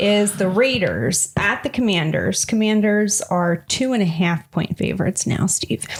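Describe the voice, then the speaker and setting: Over noticeable background noise, a woman at a medium pitch talks at a moderate pace with ordinary pitch variation, very even loudness and hardly any pauses. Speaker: sports betting podcast co-host. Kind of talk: casual chat about betting picks.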